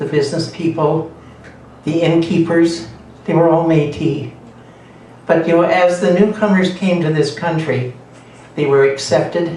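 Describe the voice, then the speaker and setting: A man with a Canadian accent speaks at a high pitch with fairly even intonation and long, frequent pauses. Room echo is audible, and there is noticeable background noise. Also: moderate pace. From southern Alberta, Canada. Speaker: Métis elder and mentor. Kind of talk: storytelling talk to audience. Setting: coffeehouse event with audience.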